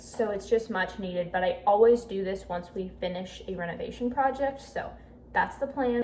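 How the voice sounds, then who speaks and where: A woman's medium pitch at a moderate pace, with ordinary pitch variation, audible room echo and noticeable background noise. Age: 20s. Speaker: lifestyle vlogger. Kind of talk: vlog narration. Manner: upbeat.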